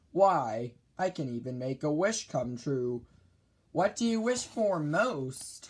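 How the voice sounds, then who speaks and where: Using a put-on character voice, a man speaks fairly high in pitch at a fairly slow pace, swinging through very wide pitch changes. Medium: read story. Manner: calm, knowing.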